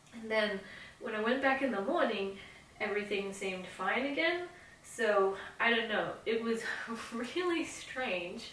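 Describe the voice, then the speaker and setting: A woman with a fairly high pitch talks at a fairly slow pace, leaving long, frequent pauses. Her intonation is lively, and background noise is noticeable. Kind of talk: casual talk to camera; personal ghost story storytelling.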